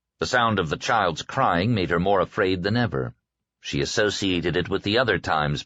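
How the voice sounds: A natural reading voice, its intonation lively, over a quiet background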